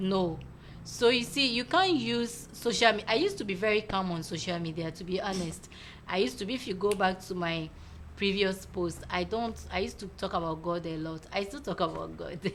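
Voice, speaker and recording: Audible room echo surrounds a woman talking at a fairly quick pace. Her voice sits at a medium pitch and has vocal fry. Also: ordinary pitch variation. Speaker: talk show host. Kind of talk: casual chat. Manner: loud.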